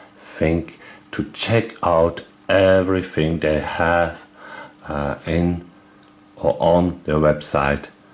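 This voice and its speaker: A man speaks very slowly at a very deep, low pitch with fairly even intonation. Noticeable background noise can be heard. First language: German. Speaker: video game YouTuber. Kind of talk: casual video commentary. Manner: halting, many fillers.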